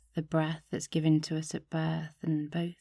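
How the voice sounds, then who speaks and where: A woman's voice has a very deep, low pitch and a calm, dark, mellow tone. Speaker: meditation guide. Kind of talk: guided meditation. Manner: slow, calm.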